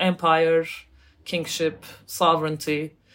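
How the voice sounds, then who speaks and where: A woman speaks with a Turkish accent. Her pace is fairly slow. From Turkey. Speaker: academic author. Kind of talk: interview. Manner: halting.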